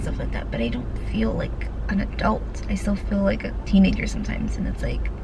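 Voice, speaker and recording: Speaking at a very fast pace, a woman is heard over noticeable background noise with audible room echo. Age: 20s. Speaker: vlogger. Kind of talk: casual chat. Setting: in a car. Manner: whispering.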